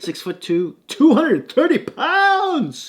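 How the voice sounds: Putting on a character voice, this man goes extremely high in pitch. His delivery is fairly slow.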